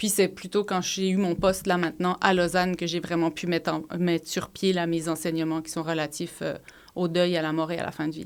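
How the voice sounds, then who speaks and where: Talking at a fairly quick pace, a woman keeps a fairly low pitch and a monotone, flat intonation. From Switzerland. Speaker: psychologist and professor. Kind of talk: podcast interview.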